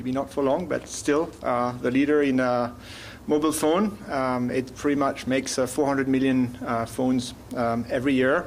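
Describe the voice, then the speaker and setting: A man's medium-pitched voice with a French accent, very even loudness, fairly even intonation and audible room echo. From France. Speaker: business development director, panelist. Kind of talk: conference presentation.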